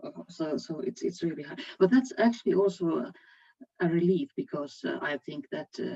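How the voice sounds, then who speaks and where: Talking at a moderate pace with a Finnish accent, a woman of medium pitch makes very wide pitch swings and big swings in loudness, her sound dry and close with no echo. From Finland. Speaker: HR executive. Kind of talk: panel discussion. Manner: halting.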